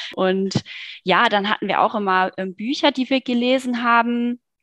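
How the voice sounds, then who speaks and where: Against a quiet background, a woman talks in an ordinary speaking voice at a fairly slow pace with ordinary pitch variation, in a dry, close sound with no echo. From Germany, Cologne. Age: 30s. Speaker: online marketing worker, book club member. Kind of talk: casual interview chat.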